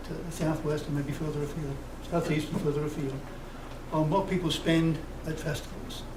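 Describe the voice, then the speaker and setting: A man's fairly high voice amid audible room echo and noticeable background noise. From United Kingdom. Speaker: festival committee representative. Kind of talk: public comment at council meeting. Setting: public meeting. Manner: fast.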